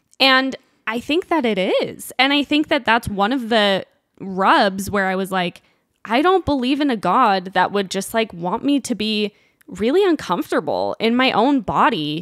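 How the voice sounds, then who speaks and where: A woman with a Utah accent speaks at a moderate pace and fairly high pitch, her voice making very wide pitch swings in a dry, close sound with no echo. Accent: American, Utah. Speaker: fashion influencer. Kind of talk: casual chat.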